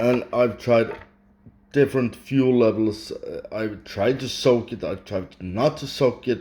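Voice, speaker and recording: A man with a Swedish accent speaks very slowly at a medium pitch, his tone dark, mellow, and somewhat breathy. His intonation is fairly even, while his loudness swings widely. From Sweden. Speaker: hobbyist vlogger. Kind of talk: casual unscripted talk. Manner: halting.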